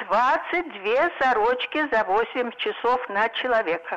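A woman's high-pitched voice with lively intonation, set against noticeable background noise. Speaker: caller. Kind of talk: phone-in comment. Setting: phone call.

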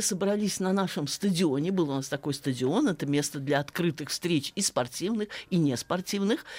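Speaking at a moderate pace with very even loudness, a woman with a fairly low pitch makes very wide pitch swings in a very clean recording with a silent background. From Russia, Saratov. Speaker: philology professor. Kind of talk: radio interview.

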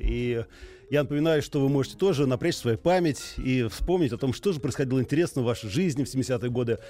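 An unremarkable speaking voice from a man, fairly high in pitch, at a fairly quick pace with lively intonation. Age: 40s. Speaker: radio host. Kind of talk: radio call-in show. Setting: studio.

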